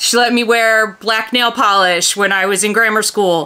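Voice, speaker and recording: Ordinary pitch variation from a female speaker. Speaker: doll collector vlogger. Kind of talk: casual vlog chat. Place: home room.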